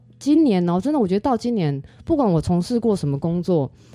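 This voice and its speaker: Very fast female voice with a Taiwanese accent, fairly low in pitch, dark and mellow in tone, with very wide pitch swings. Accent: Taiwanese Mandarin, speaks Taiwanese Hokkien. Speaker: astrology student. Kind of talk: casual interview.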